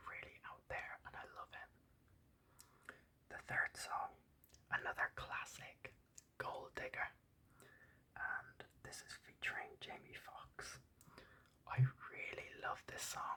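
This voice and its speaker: The speaker whispers very slowly, stopping often for long pauses. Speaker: ASMR YouTuber. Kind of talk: whispered ASMR album ramble. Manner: whispered.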